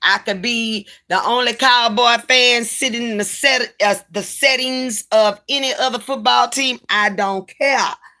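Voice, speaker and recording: In a Louisiana accent, a woman with a high pitch speaks at a fairly slow pace with hardly any pauses and fairly even intonation. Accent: Southern US (Louisiana). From Louisiana, Baton Rouge. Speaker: live streamer. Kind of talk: casual livestream chat.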